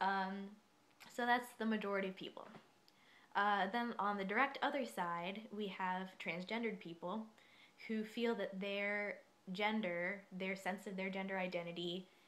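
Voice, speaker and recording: A soft-spoken woman talks at a medium pitch with fairly even intonation. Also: moderate pace. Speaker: vlogger. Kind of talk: casual explainer monologue. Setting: dorm room. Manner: quiet, soft-spoken; hesitant, many fillers.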